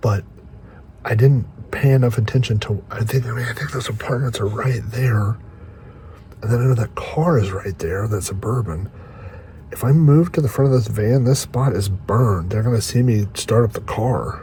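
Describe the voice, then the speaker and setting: With noticeable background noise behind him, a man whispers at a moderate pace. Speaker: van life vlogger. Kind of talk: vlog monologue. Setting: inside a parked van at night. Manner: whispering.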